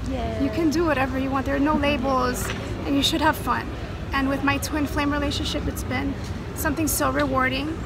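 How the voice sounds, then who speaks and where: Music plays in the background as the voice moves at a fairly quick pace. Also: woman. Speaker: interview guest. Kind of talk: interview answer. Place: street. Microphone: phone near.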